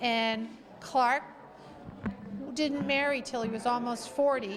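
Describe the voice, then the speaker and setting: In a New England accent, a woman speaks at a high pitch. She goes at a fairly slow pace, and her pitch varies in an ordinary way. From Massachusetts (Carver area). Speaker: youth center board chair. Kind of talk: casual interview.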